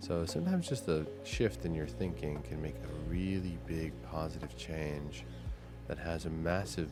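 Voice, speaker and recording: A man's very deep, low voice at a moderate pace, with music in the background. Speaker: gaming content creator. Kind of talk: soft-spoken sleep gaming commentary. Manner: casual, chill.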